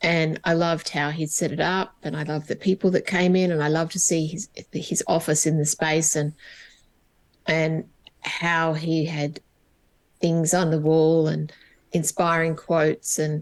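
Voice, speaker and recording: In an Australian accent, a woman speaks at a moderate pace with a very deep, low pitch. Her intonation is flat and monotone, broken by long, frequent pauses. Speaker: HR coach and business owner. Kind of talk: interview conversation.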